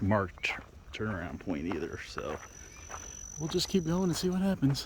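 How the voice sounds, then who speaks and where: Noticeable background noise sits under a man talking at a moderate pace. His pitch is fairly low yet swings very widely. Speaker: outdoor vlogger. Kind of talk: casual vlog narration while hiking. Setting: outdoors on a hiking trail. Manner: loud.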